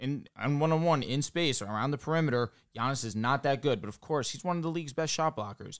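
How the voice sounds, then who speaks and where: A man talks at a very fast pace with hardly any pauses. His pitch is fairly high and varies in an ordinary way. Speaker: podcast co-host. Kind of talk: casual sports podcast chat.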